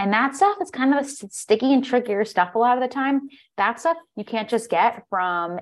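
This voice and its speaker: An unremarkable speaking voice from a woman with an American accent, lively intonation and a moderate pace against a quiet background. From US. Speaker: holistic nutritionist and life coach. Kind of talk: interview.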